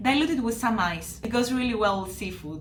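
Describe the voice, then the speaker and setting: With a Greek accent and a fairly high pitch, a woman speaks over noticeable background noise and audible room echo. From Greece, Kavala. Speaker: flight attendant. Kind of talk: travel presentation.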